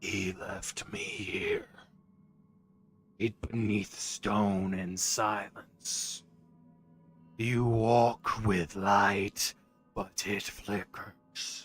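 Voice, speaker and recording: Using a put-on character voice, a man speaks raspily at a fairly low pitch and a very slow pace, leaving long, frequent pauses. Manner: ominous.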